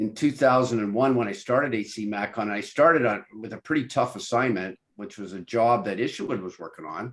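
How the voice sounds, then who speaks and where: An ordinary speaking voice from a man at medium pitch, fairly quick in pace, with ordinary pitch variation and big swings in loudness. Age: 60s. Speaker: podcast host, engineer. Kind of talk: interview conversation.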